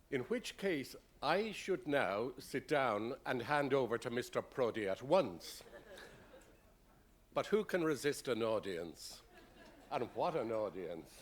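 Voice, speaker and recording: A man with an Irish accent speaks at a very slow pace, with long, frequent pauses and vocal fry. His medium pitch moves in very wide swings. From Ireland. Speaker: university president. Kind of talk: formal speech introduction. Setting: dinner event with audience.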